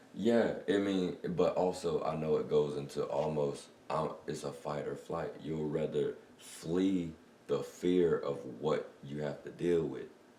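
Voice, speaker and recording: A man speaks at a fairly slow pace. The room echo is audible, and background noise is noticeable. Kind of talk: casual chat. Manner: loud, projecting.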